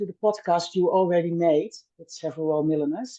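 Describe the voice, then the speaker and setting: A woman's dark, mellow tone at a moderate pace. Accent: Dutch. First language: Dutch. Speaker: milliner. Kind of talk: podcast interview. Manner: halting, many fillers.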